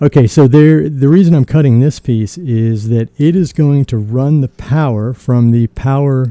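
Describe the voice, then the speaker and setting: The sound is dry and close, with no echo. A man speaks in a medium pitch with a dark, mellow tone and ordinary pitch variation. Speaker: maker demonstrating a DIY electronics build. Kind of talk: tutorial. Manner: casual, conversational with self-corrections.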